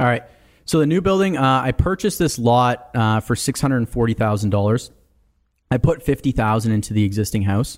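An ordinary speaking voice moves at a fairly quick pace with very even loudness. The recording is very clean, with a silent background. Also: man, medium pitch for a man. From Canada, small town in Ontario. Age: 20s. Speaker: real estate developer. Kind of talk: casual chat.

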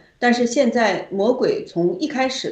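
With audible room echo around her, a woman speaks in a lively intonation. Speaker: activist guest. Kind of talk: casual chat.

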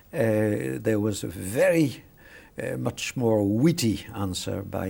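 A man speaks with a French accent at a fairly low pitch. His tone is dark and mellow. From France. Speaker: international law professor. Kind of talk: interview. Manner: halting, many hesitations and repetitions.

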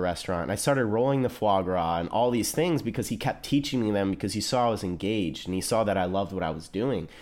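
A man with a Midwestern American accent at a fairly quick pace. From US Midwest, small-town Ohio. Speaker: chef. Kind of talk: casual chat. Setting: studio. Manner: talkative.

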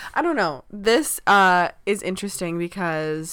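On a very clean recording with a silent background, a woman speaks at a very slow pace and fairly low pitch with ordinary pitch variation. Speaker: pop culture podcast co-host. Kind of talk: casual chat.

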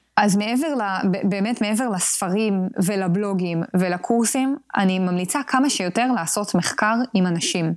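A woman's medium-pitched voice at a fairly slow pace, its loudness very even. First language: English and Spanish (speaking Hebrew). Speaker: product manager. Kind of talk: interview.

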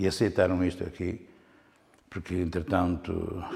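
A man's very deep, low voice comes through somewhat breathy, with a dark, mellow tone. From northern Portugal, Alto Minho (near Viana do Castelo). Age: 60s. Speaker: painter. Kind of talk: interview. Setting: his own studio-gallery. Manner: halting, with frequent repetitions.

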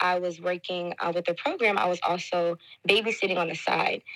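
The recording is very clean, with a silent background. A woman speaks at medium pitch and a moderate pace in a normal speaking voice. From Detroit, Michigan, US. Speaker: teacher. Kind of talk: podcast interview.

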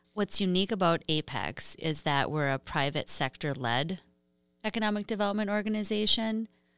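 Recorded very cleanly against a silent background, a woman talks at a fairly quick pace with a bright, sharp tone, ordinary pitch variation and a dry, close sound with no echo. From northern Minnesota. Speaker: economic development professional. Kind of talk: interview.

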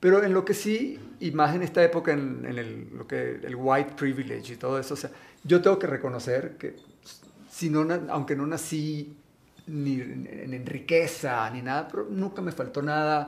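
An ordinary speaking voice from a man with a fairly high pitch, ordinary pitch variation, a moderate pace and big swings in loudness. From Venezuela. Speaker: actor and model. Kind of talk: casual interview.

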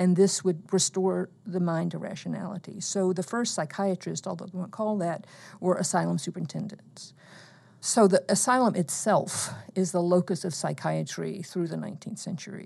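A woman with an American accent speaks at medium pitch in a dark, mellow tone with vocal fry and fairly even intonation, against a quiet background. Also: moderate pace. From US South, eastern Alabama. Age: 60s. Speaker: professor. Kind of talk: interview.

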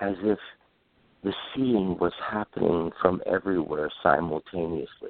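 Very slow speech with ordinary pitch variation. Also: man. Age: 60s. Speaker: optometrist and vision scientist, author. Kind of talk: interview. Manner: reflective, hesitant with frequent fillers.

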